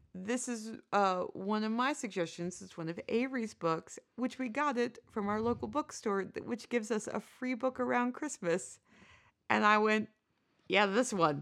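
A woman with an American accent talks at a moderate pace in an ordinary speaking voice, fairly high in pitch with ordinary pitch variation, on a very clean recording with a silent background. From United States. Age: 40s. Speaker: podcast co-host. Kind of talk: casual chat.

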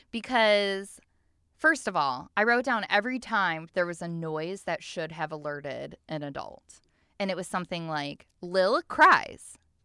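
On a very clean recording with a silent background, a woman with a fairly low pitch speaks at a fairly slow pace in an animated, bright, sharp tone, with lively intonation and big swings in loudness. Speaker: podcast co-host. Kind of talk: casual chat.

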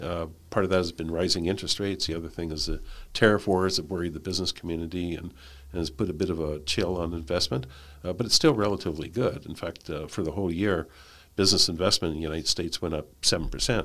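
A man's very deep, low voice in a Canadian accent, at a very fast pace. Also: ordinary pitch variation, very clean recording, silent background. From Canada. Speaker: tax economist, professor. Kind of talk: interview. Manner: halting, many fillers.

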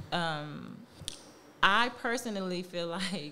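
Audible room echo follows a woman whose speech has ordinary pitch variation. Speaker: podcast co-host and entrepreneur. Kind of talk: casual chat.

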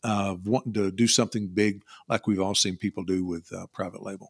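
On a very clean recording with a silent background, a man speaks with a Kentucky accent, the sound dry and close with no echo. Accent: Kentucky Southern US. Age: 50s. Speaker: online seller and insurance agent. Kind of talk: casual interview.

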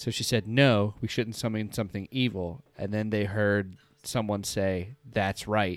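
Plain reading aloud in fairly even intonation

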